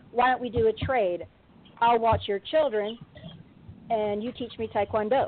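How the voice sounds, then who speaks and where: Speaking in a Kentucky accent, a woman has a fairly high pitch. She talks at a fairly slow pace. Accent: Kentucky Southern. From San Diego, California. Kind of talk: casual interview. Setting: phone call.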